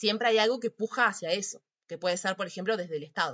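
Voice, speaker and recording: Very fast delivery from a woman, pitch varying in an ordinary way. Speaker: psychology teacher. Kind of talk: lecture.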